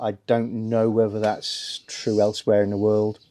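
A man speaks at a moderate pace with a dark, mellow tone. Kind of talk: tutorial. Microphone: phone near.

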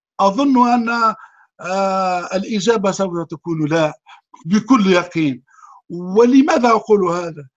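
A man speaks at a very slow pace with ordinary pitch variation against a quiet background. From Tunisia. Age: 50s. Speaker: atheist commentator. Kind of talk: talk show interview monologue. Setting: online call. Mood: earnest, lamenting.

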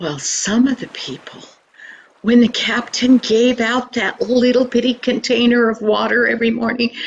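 A woman speaks at a high pitch and a fairly slow pace. Light background noise sits underneath. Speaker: storyteller. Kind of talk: storytelling. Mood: earnest, expressive. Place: home room. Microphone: webcam.

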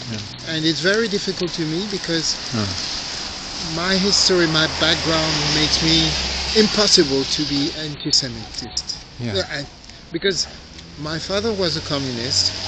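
A man at a moderate pace with long, frequent pauses, loud background noise behind him. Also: dry sound with no echo. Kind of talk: casual street conversation. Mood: earnest, reflective. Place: street. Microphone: phone near.

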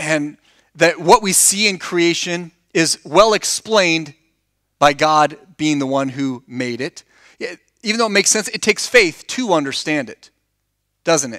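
Against a quiet background, a bright, sharp voice moves at a fairly slow pace. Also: man. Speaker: preacher. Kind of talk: sermon. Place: church. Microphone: headset.

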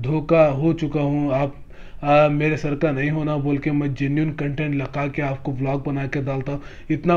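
A man speaks at a moderate pace in a fairly high voice. His tone is slightly mellow, with little pitch movement.

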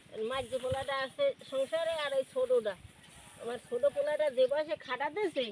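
Noticeable background noise accompanies a woman speaking at a high pitch with ordinary pitch variation. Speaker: fisherman's wife, villager. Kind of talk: interview answer.

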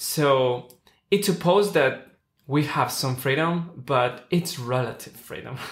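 The voice is somewhat breathy, with ordinary pitch variation and a fairly slow pace. There is audible room echo. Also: man, fairly high pitch for a man. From Ecuador. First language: Spanish. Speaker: podcast host and opera singer; podcast host. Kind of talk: casual interview, bilingual English/Spanish; scripted show intro. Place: studio.

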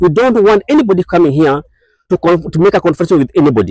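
A high-pitched male voice at a fairly quick pace, lively in intonation, dry with no echo and a quiet background. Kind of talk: press statement. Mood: earnest, solemn request. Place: open country. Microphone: lapel.

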